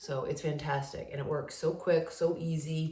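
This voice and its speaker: A woman with a very deep, low voice is heard with audible room echo. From New England, Rhode Island. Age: 40s. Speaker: lifestyle vlogger. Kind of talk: casual chat. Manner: animated.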